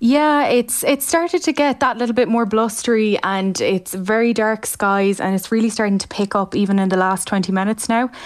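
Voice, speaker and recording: The woman has an ordinary speaking voice with a fairly high pitch and ordinary pitch variation. She keeps a moderate pace with hardly any pauses. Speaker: reporter. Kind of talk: live phone report on storm.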